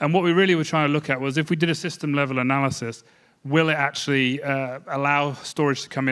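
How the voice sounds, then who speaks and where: A man with a slight English accent speaks very fast at medium pitch. His intonation is fairly even, and the recording is very clean with a silent background. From England. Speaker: energy modeling company head. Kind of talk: conference panel presentation.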